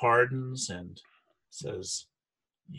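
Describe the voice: The clip is read aloud plainly. Behind it, all is quiet.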